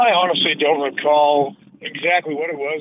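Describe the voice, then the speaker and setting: Against noticeable background noise, a man with a fairly high pitch talks at a fairly slow pace. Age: 30s. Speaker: caller. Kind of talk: phone call.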